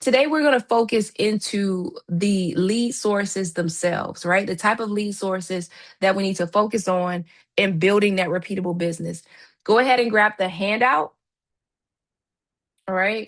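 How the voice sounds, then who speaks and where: A woman with an American accent and an ordinary speaking voice, at medium pitch with ordinary pitch variation and a moderate pace, over a quiet background. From Miami, Florida. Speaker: real estate trainer. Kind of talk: live online training.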